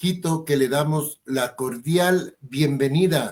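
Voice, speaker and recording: A man speaks at a very slow pace. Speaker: TV show host. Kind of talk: interview.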